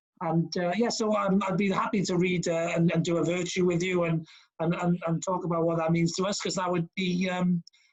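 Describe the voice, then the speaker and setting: Fairly quick, fairly even speech in a Welsh accent. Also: man. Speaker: podcast host. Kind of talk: podcast interview. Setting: video call.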